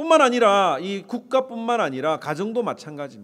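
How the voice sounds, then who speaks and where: The speaker has a slight Gyeongsang accent and very wide pitch swings at a moderate pace. The recording is very clean, with a silent background. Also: man. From South Korea, Gyeongsang. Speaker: pastor. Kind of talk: sermon.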